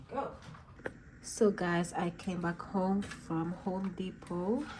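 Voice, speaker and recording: Through noticeable background noise, a woman with a Jamaican accent speaks very slowly at medium pitch with fairly even intonation. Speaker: cooking vlogger and mom. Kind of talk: casual vlog cooking tutorial. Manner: chatty, informal.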